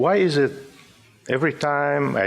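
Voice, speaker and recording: A man speaks with an Arabic accent. His pace is very slow. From Syria (Damascus). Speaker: poet. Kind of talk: poetry reading.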